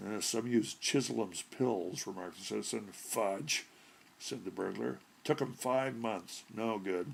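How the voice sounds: Pitch varies in an ordinary way. The voice is a natural reading voice.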